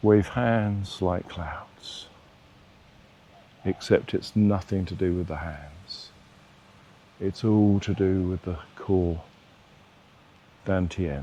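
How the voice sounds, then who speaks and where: Very deep and low in pitch, a man speaks in a dark, mellow tone with fairly even intonation. His pace is very slow, with long, frequent pauses. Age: 70s. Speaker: tai chi and qigong instructor. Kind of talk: tutorial.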